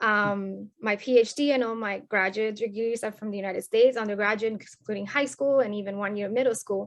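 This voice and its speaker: Fairly quick speech from a woman with a Spanish accent, fairly high pitch, fairly even intonation and hardly any pauses. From Colombia. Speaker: sociology academic. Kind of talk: podcast interview.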